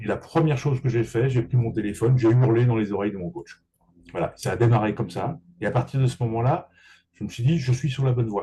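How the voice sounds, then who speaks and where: A man speaks at a fairly quick pace in a medium pitch, with fairly even intonation. His tone is dark and mellow, and somewhat breathy. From Paris region, France. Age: 60s. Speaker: real estate agent and business coach. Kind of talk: interview.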